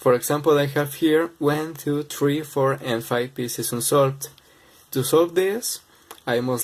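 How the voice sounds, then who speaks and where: At a fairly slow pace, a man with a non-native accent talks at a fairly high pitch with ordinary pitch variation. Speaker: speedcubing tutorial maker. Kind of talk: tutorial.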